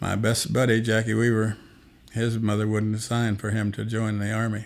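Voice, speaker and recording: With an Appalachian accent, a man talks at a moderate pace in a flat, monotone delivery. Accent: Appalachian American. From Appalachia, southwestern Virginia and West Virginia. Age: 80s+. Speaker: elderly interviewee, army veteran. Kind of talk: interview, life story.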